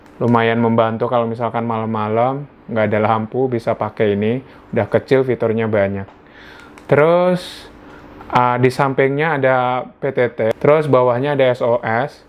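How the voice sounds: A moderate pace and fairly even intonation. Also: man, medium pitch for a man.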